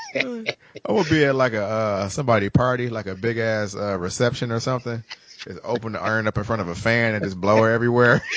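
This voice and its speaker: Very fast speech from a man at medium pitch, with fairly even intonation and noticeable background noise. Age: 30s. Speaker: podcast host. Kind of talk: casual chat.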